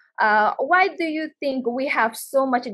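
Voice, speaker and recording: Against a quiet background, a woman with a plain, everyday voice speaks at a fairly slow pace with lively intonation. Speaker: webinar moderator, actress and journalist. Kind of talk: moderated panel discussion. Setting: video call webinar. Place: office. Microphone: video call.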